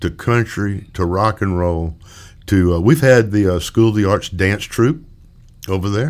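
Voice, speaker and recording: A man at a moderate pace, with a Mississippi accent. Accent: US Southern (Mississippi). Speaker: musician and retired music educator. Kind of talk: interview. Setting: studio. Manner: halting, many fillers.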